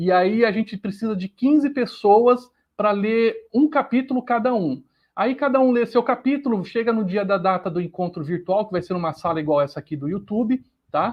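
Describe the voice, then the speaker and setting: A high-pitched male voice at a moderate pace, with lively intonation. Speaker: livestream host. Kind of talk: live stream announcements. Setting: YouTube live stream.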